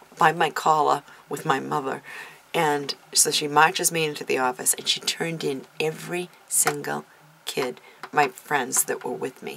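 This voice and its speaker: Noticeable background noise is present. Over it, a woman speaks fairly slowly. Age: 50s. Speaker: YouTube vlogger. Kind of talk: casual tag video monologue. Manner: hesitant, many fillers.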